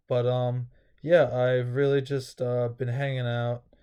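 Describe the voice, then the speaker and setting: A man speaks fairly slowly over a quiet background, his medium-pitched voice dark and mellow in tone, with monotone, flat intonation. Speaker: vlogger. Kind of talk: casual vlog update.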